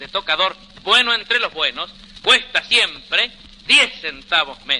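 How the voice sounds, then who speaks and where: A man talks at a fairly slow pace against noticeable background noise. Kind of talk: vintage radio soap commercial read.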